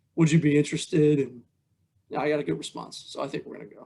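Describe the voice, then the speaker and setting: A man's voice at a fairly high pitch. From South Jersey (Stratford). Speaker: basketball coach. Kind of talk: interview.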